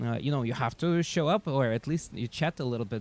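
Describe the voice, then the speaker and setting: A man with a Russian accent speaks at a medium pitch with ordinary pitch variation. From Siberia, Russia. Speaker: chess streamer. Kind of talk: casual live stream chat. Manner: halting, many fillers.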